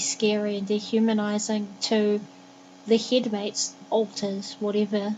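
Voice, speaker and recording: A woman with a New Zealand accent speaks in a fairly high voice. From New Zealand, Christchurch. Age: 20s. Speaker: vlogger. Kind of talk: vlog monologue.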